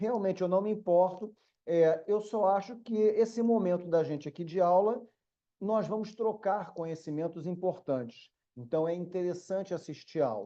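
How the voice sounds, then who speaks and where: A man's high-pitched, dark and mellow voice with a Rio de Janeiro accent and ordinary pitch variation. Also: moderate pace. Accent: carioca (Rio de Janeiro). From Brazil, Rio de Janeiro city. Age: middle-aged. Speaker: law professor. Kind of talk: online lecture. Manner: casual, conversational.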